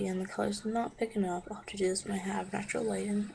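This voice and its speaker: Background noise is noticeable throughout. The words come very fast. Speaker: beauty vlogger. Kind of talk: product review tutorial. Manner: casual, chatty.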